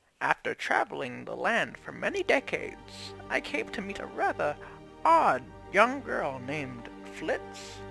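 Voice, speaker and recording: A put-on character voice at a fairly slow pace over clear background music. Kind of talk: fantasy storytelling narration. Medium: actual play.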